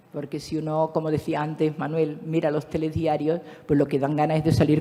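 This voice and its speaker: Noticeable background noise sits behind this woman's voice. She speaks at a moderate pace with a very deep, low pitch. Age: 70s. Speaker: speaker at a conference, teacher. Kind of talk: conference talk.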